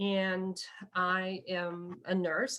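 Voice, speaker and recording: Here is a woman with a medium pitch. She speaks in an American accent. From US Midwest, Illinois. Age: 60s. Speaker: nurse. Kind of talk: oral history interview.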